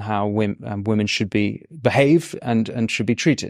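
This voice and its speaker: A man with an English accent talks at a moderate pace with ordinary pitch variation. The very clean recording is dry and close with no echo, over a silent background. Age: 30s. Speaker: podcast host. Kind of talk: interview.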